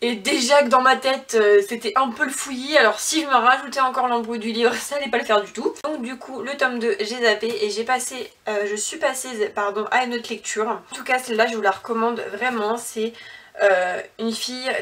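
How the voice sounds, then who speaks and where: A woman talks fairly quickly in a high pitch with ordinary pitch variation. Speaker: book vlogger. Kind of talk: casual vlog chat. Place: home room. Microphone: phone near.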